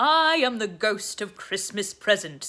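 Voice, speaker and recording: Speaking fairly slowly, a woman performs a put-on character voice at a medium pitch. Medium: read story. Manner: hearty, open and welcoming.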